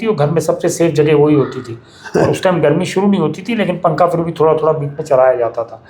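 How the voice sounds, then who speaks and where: Noticeable background noise accompanies a man's fairly high voice, which varies in pitch in an ordinary way. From Delhi, India. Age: 60s. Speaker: bird conservationist, nest maker. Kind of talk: interview. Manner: hesitant fillers.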